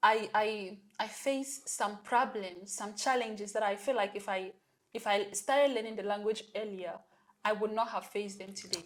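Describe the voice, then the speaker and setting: A woman speaks with a strong African accent at a medium pitch. Her pace is moderate and her intonation fairly even. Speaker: podcast host. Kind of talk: interview.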